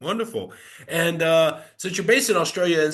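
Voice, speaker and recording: Very wide pitch swings fill a man's very fast speech, heard with noticeable background noise. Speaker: podcast host. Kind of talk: interview podcast.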